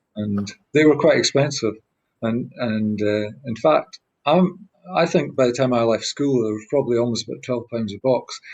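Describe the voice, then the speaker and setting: This man speaks with a Scottish accent at a moderate pace. His pitch sits in the medium range and varies in an ordinary way. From Scotland. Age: 60s. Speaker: badminton player. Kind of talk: interview answer.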